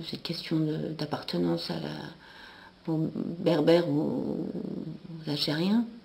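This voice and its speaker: This woman has a very deep, low voice. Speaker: stage performer. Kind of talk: interview. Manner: hesitant, with fillers.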